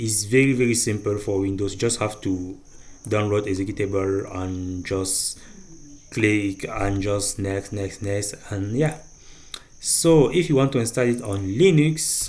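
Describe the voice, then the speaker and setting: With a non-native accent, a man speaks at a fairly slow pace and a fairly low pitch. Room echo can be heard. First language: not English. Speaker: programming tutorial creator. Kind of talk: tutorial. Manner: halting, with fillers.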